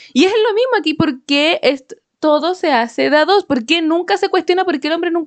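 A woman with a Chilean accent speaks at a fairly quick pace in an extremely high pitch, keeping her loudness very even. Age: 20s. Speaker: podcast co-host. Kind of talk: casual chat.

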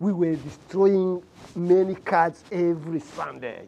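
The man's voice is high-pitched, with ordinary pitch variation. He speaks at a fairly slow pace. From Rwanda. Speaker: church member. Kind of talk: testimony. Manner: halting.

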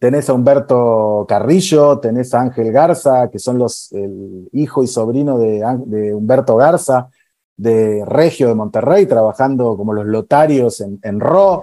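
A man with a Rioplatense accent speaks at a fairly slow pace and medium pitch, with lively intonation and a dark, mellow tone. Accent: Argentine Spanish (rioplatense). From Argentina. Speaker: TV post-production producer. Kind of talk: casual interview chat.

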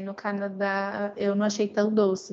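The speaker, with a Paulista accent, talks at a fairly slow pace. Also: woman. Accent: Paulista Brazilian Portuguese. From Brazil, São Paulo. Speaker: language learner, former exchange student. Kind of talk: casual interview.

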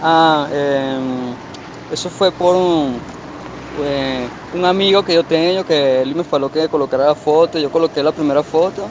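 Speaking at a moderate pace with long, frequent pauses, a man with a fairly high voice keeps his intonation fairly even over noticeable background noise. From Portugal. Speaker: internet personality. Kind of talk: casual interview. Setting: outdoors on a call. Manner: halting, mixes Spanish and Portuguese. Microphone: muffled audio.

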